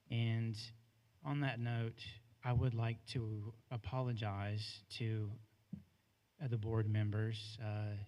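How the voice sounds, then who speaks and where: In an American accent, a man with a dark, mellow tone speaks at a medium pitch and a very slow pace. His delivery is monotone and flat, with long, frequent pauses. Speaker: former school janitor. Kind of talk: public comment at board meeting. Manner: halting, many fillers.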